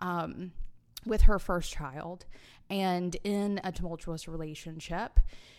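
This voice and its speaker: A woman with a Southern US accent, very slow pace, fairly low pitch, fairly even intonation and big swings in loudness. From US South, Alabama. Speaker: podcaster and business owner. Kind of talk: casual interview.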